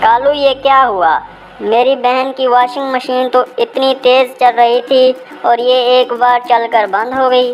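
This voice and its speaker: A cartoonish, female-sounding character voice at a high pitch and moderate pace, with clear background noise. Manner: nagging.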